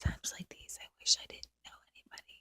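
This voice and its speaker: A woman whispers at a moderate pace. The sound is dry and close, with no echo. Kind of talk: whispered ASMR diary entry.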